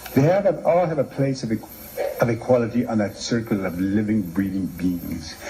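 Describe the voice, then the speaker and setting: At a moderate pace and medium pitch, a man with a Canadian accent makes very wide pitch swings over noticeable background noise. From Manitoba, Canada. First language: Cree. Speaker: playwright and author. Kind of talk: lecture.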